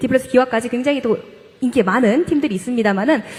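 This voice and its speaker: A high-pitched woman's voice with lively intonation over noticeable background noise. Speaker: professor and esports caster. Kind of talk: panel discussion. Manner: fast.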